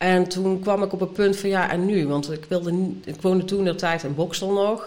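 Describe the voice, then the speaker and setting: A woman's voice over noticeable background noise. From Brabant, Netherlands. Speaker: artist and art teacher. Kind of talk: casual interview. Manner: halting, many fillers.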